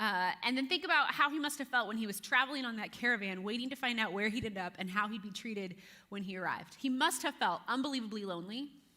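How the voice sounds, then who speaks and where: A woman speaks at a very fast pace with hardly any pauses. Her pitch is fairly high. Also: lively intonation. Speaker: youth pastor. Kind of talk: sermon. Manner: casual, conversational.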